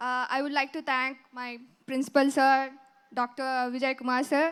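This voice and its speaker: In a very clean recording with a silent background, a woman talks in a high-pitched voice with monotone, flat intonation. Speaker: school alumna. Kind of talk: speech. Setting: stage with audience. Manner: halting.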